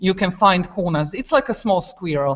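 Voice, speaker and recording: A woman with a Croatian accent and ordinary pitch variation. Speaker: teacher. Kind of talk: classroom video exchange. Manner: halting.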